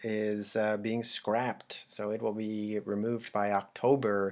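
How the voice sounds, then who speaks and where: A man speaks quietly on a very clean recording with a silent background. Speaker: local news blogger and video host. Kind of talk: casual news roundup. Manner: speaking quietly.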